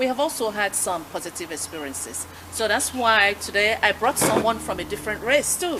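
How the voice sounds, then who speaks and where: A woman's fairly high voice with a West African accent, very wide pitch swings, and a fairly quick pace over noticeable background noise. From Nigeria. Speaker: talk show host. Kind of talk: radio interview.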